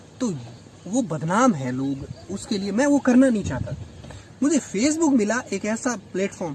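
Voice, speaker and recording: In a Rajasthani accent, the speaker's pitch swings very widely, with long, frequent pauses. Background noise is noticeable. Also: man, high pitch for a man. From Rajasthan, India. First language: Rajasthani (speaking Hindi). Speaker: English lecturer and writer. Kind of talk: interview conversation.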